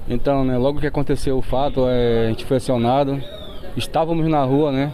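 At a moderate pace and with fairly even intonation, a man talks against noticeable background noise. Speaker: military police officer. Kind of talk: press statement. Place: street. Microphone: handheld.

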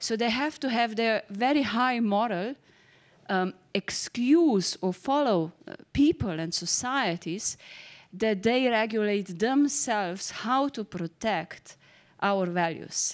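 This woman's pitch is fairly high. She talks at a very slow pace. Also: quiet background. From Slovenia. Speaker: politician. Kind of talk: panel discussion. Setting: stage with audience. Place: stage. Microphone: handheld.

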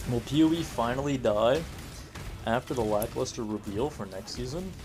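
Male speech with ordinary pitch variation, set against clear music in the background. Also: medium pitch for a man. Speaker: video game streamer. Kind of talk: live gameplay stream chat. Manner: fast; animated.

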